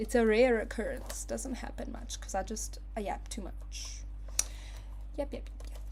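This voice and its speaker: Noticeable background noise fills the recording. Through it, a woman's voice carries audible room echo. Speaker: crafting instructor. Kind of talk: live tutorial. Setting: live stream. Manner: animated.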